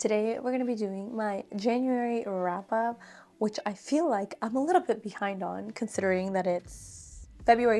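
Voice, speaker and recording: Over background music, a soft-spoken woman talks at a fairly high pitch with ordinary pitch variation. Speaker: book reviewer. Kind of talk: casual talk to camera.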